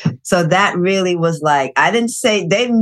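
A woman with an ordinary speaking voice talks at a moderate pace and ordinary pitch variation. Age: 60s. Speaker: gerontologist and life coach. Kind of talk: casual interview.

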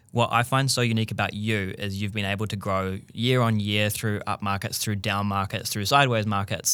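A man's fairly low, bright and sharp voice, monotone and flat, at a fairly quick pace with hardly any pauses, on a very clean recording with a silent background. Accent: New Zealand. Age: 30s. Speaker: podcast host. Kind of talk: casual chat.

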